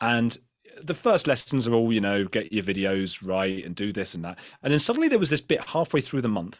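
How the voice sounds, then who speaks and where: Speaking with a British accent, a man at medium pitch uses lively intonation on a very clean recording with a silent background. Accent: British accent, liked by American viewers. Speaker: podcaster and YouTuber. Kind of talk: panel discussion. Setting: live event panel. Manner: fast, with frequent restarts.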